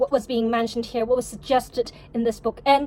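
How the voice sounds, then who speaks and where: A woman speaks with a Cantonese accent. Noticeable background noise is present. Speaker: novelist vlogger. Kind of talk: vlog monologue. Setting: at home.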